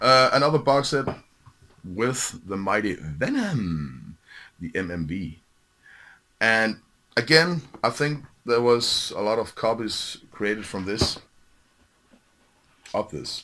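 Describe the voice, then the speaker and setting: Very slow, lively speech in a Danish accent with a bright, sharp tone and long, frequent pauses. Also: man, medium pitch for a man. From Denmark. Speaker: metal music collector, video host. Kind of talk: casual show-and-tell video. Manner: halting, many fillers.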